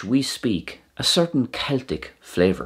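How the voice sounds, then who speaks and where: A man with an Irish accent speaks at a medium pitch, his voice swinging very widely in pitch and showing vocal fry. The recording is very clean, with a silent background. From Ireland. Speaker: Irish language teacher. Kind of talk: educational explainer.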